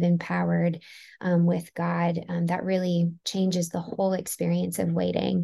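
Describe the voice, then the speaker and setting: A woman's somewhat breathy voice, fairly low in pitch with a dark, mellow tone, at a moderate pace over a quiet background. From US Northeast, Maryland. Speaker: therapist and author. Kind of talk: interview.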